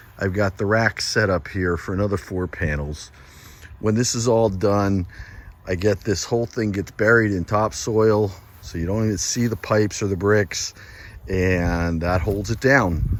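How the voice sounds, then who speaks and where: A man speaks in an unremarkable speaking voice, fairly low in pitch. His pace is moderate, with ordinary pitch variation. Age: 60s. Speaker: solar installer and seller. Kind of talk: casual video walkthrough and sales pitch. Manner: casual, conversational.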